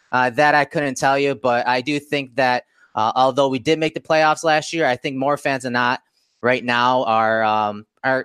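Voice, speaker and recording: In a very clean recording with a silent background and a dry, close sound with no echo, a man with a plain, everyday voice and a fairly high pitch speaks at a moderate pace with ordinary pitch variation. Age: 30s. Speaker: football writer. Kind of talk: podcast interview. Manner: frequent fillers and restarts.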